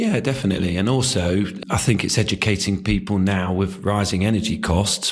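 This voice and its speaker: Noticeable background noise sits behind a man speaking at a moderate pace in a very deep, low voice. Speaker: business owner. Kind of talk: interview answer. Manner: soft-spoken.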